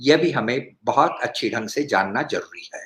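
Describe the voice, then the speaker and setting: A man's voice with vocal fry. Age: 70s. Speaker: cardiologist and speaker. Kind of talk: health talk.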